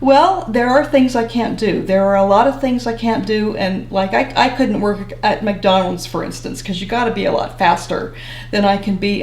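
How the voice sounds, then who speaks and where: With hardly any pauses, a woman talks at a moderate pace in a medium pitch with lively intonation, noticeable background noise behind her. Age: 70s. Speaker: retired social worker. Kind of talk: interview answer.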